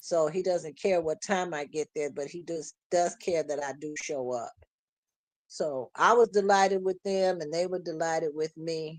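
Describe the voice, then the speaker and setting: A woman speaks in a normal speaking voice, fairly low in pitch with ordinary pitch variation. Her pace is moderate. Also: dry, close sound with no echo. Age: 60s. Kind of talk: casual chat.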